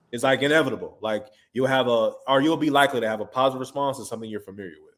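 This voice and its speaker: A man's medium-pitched voice with a Houston accent, very fast pace, ordinary pitch variation and big swings in loudness. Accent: Houston Texas American English. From Texas, Houston. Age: 30s. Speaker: recording artist and producer. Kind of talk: interview. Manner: casual.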